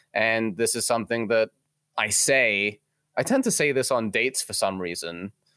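The voice has a bright, sharp tone, a moderate pace and ordinary pitch variation, in a dry, close sound with no echo. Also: man, medium pitch for a man. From England. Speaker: mortgage broker. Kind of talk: casual interview. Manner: animated.

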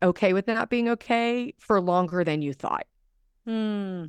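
It is a plain, everyday voice at a fairly slow pace. The sound is dry and close, with no echo. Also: woman. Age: 40s. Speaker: pastor and author. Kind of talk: casual chat.

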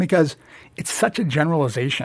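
A man with an American accent at a fairly quick pace, a plain, everyday voice over a quiet background. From New Jersey. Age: 50s. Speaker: bank executive. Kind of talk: interview.

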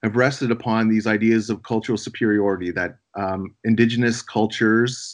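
With a Canadian accent, a man speaks at a medium pitch and a moderate pace. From Algonquin territory, Ottawa area, Canada. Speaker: professor. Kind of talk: interview. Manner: halting.

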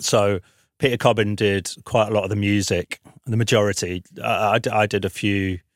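With a fairly low pitch and fairly even intonation, a man talks at a moderate pace in a dry, close sound with no echo.

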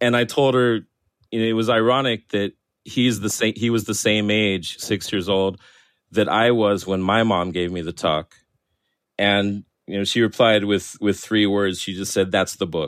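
A man's plain, everyday voice, fairly low in pitch, at a moderate pace with fairly even intonation. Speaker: cartoonist and author. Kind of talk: interview.

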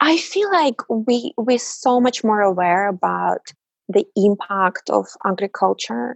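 This is a woman speaking. She has a Russian accent. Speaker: mobile industry program director. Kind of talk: interview.

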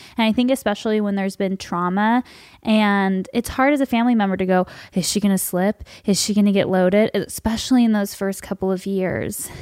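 A woman's medium-pitched voice at a fairly quick pace, fairly even in intonation, on a very clean recording with a silent background. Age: 20s. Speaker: podcast host. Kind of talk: casual interview chat. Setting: studio with headphones.

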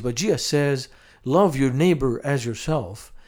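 A man with a Lebanese accent, fairly high in pitch, with ordinary pitch variation at a moderate pace, in a very clean recording with a silent background. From Lebanon, Beirut. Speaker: missionary to Muslims. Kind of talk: interview.

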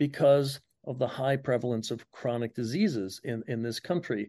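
A man with an American accent, his tone dark and mellow, at medium pitch and moderate pace over a quiet background. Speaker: public health professor. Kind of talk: radio interview.

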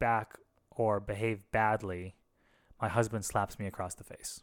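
In a very clean recording with a silent background, a man's voice sits at a medium pitch. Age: 30s. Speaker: podcast co-host, former pastor. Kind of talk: casual chat.

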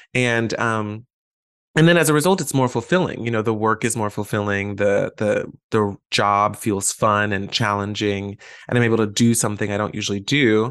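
This man has an unremarkable speaking voice, fairly low in pitch, with an American accent. He talks at a moderate pace with ordinary pitch variation against a quiet background. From Atlanta, US South. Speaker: actor and graduate student.

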